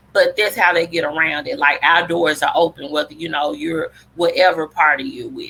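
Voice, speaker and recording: A woman speaks in a Southern US accent. Her tone is passionate. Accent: Southern drawl. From Memphis, Tennessee. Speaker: public health advocate. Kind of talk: presentation talk. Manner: conversational, passionate.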